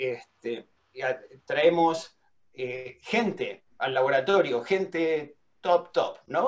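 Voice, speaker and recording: His pitch varies in an ordinary way. It is a fairly high voice for a man. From Argentina. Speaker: welding engineering professor. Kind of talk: lecture. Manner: halting, with many fillers and repetitions.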